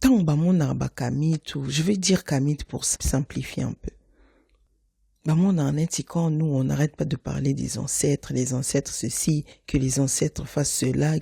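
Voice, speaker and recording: In a Congolese accent, a woman speaks on a very clean recording with a silent background and a dry, close sound with no echo. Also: fairly slow pace. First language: Lingala (speaking French). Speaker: podcast host. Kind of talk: podcast monologue. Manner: casual, conversational with fillers; mixes French and Lingala.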